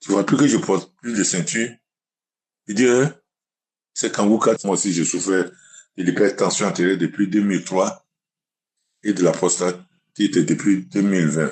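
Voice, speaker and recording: Against a quiet background, a man talks at a moderate pace with long, frequent pauses, his fairly low pitch showing ordinary variation. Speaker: testimony giver. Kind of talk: testimony.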